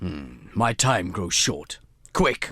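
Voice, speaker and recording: A man in a put-on character voice with a very deep, low pitch. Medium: audio drama.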